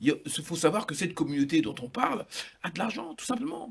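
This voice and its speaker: In an African accent, a man talks at a fairly quick pace with very wide pitch swings. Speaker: talk show panelist. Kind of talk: heated debate.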